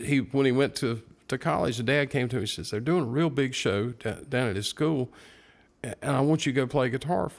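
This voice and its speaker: A normal speaking voice, moderate in tempo, with an American accent and lively intonation. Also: man. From North Carolina (Morganton). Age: 60s. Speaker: guitar shop owner and guitarist. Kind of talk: casual chat.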